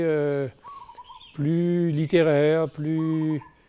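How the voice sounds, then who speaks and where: A man with a fairly high-pitched voice speaks against noticeable background noise. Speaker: novelist. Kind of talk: interview. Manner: hesitant, many fillers.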